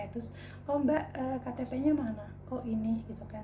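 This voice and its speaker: Moderately paced speech from a woman, carrying audible room echo and noticeable background noise. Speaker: vlogger. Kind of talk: personal storytelling vlog. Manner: casual, colloquial.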